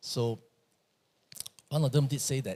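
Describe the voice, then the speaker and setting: A man's somewhat breathy, medium-pitched voice at a fairly quick pace, in a very clean recording with a silent background. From Malaysia. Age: 60s. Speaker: pastor. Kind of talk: sermon.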